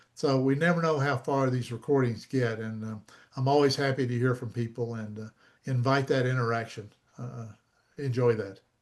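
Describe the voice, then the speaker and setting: A man with an American accent speaks at a medium pitch. His intonation is fairly even. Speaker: copyright expert, presenter. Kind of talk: Q&A after a talk. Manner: fast.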